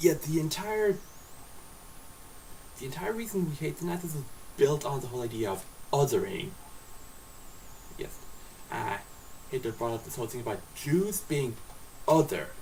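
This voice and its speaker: Through noticeable background noise, the speaker moves at a moderate pace with very wide pitch swings, big swings in loudness, and long, frequent pauses. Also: man, fairly high pitch for a man. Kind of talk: casual talk to camera. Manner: slurred.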